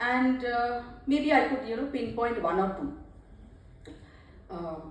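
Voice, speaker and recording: With a Bengali accent, a woman speaks at a very slow pace in a high voice with ordinary pitch variation, amid audible room echo and noticeable background noise. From West Bengal, India. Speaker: author and translator. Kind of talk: speech at book launch.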